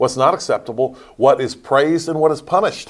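A man with an American accent at a fairly quick pace, in a normal speaking voice. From Pennsylvania, US. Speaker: pastor. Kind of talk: casual chat.

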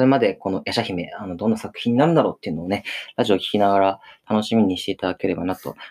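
A man speaks at a very fast pace. His fairly low voice shows ordinary pitch variation. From Okinawa, Japan. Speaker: theater troupe leader and playwright-director. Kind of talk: casual radio chat. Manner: halting, many fillers.

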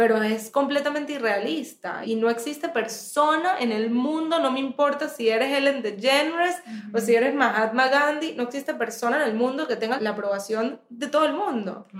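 Amid noticeable background noise, a woman with a high voice keeps a moderate pace with hardly any pauses. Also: ordinary pitch variation. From Venezuela. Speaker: therapist. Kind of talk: interview conversation.

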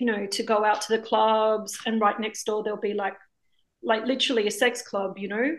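In an Australian accent, a woman talks at a moderate pace. Her pitch is fairly high and her intonation fairly even. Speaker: documentary filmmaker. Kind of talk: interview.

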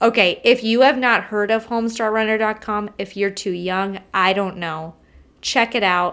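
In a very clean recording with a silent background, a woman with a plain, everyday voice speaks at a fairly high pitch, a moderate pace and fairly even intonation. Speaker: podcast host. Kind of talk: casual chat.

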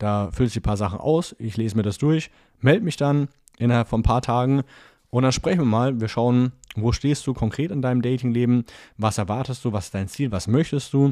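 A man with a normal speaking voice talks at a fairly quick pace and medium pitch with ordinary pitch variation on a very clean recording with a silent background. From Franconia, Nuremberg. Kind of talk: solo podcast monologue with coaching advice. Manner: casual, with frequent filler sounds.

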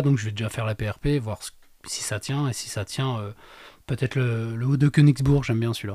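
A somewhat breathy, medium-pitched male voice at a moderate pace, with fairly even intonation, long and frequent pauses, and a very clean recording with a silent background. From Lorraine, France. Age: 30s. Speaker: amateur trail runner, estate agent. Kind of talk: casual interview. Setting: studio.

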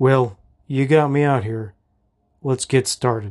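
Putting on a gruff character voice, a man speaks at a medium pitch and fairly slow pace with fairly even intonation. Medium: read story. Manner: gruff, blunt.

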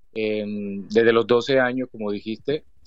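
In an ordinary speaking voice, a man talks at medium pitch and a moderate pace. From Colombia, Cesar region. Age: 30s. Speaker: author. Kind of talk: interview.

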